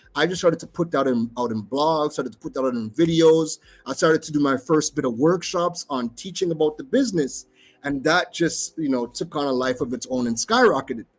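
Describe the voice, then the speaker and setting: With an American accent, a man talks at a fairly quick pace and fairly high pitch with ordinary pitch variation in a very clean recording with a silent background. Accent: American accent in Trinidad. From US, raised abroad. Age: 30s. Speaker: tech entrepreneur. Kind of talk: conference talk.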